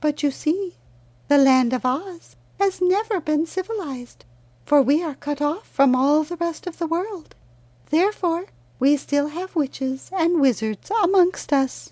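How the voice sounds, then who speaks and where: A female-sounding voice puts on a squeaky, high-pitched character voice at a moderate pace. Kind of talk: storybook character reading. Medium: read story. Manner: sweet, calm, courteous.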